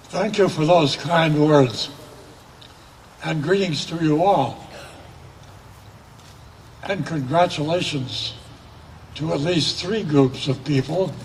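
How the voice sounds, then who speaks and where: A man with a fairly high voice speaks very slowly, leaving long, frequent pauses over noticeable background noise. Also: ordinary pitch variation. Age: 80s+. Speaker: commencement speaker. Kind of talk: commencement address.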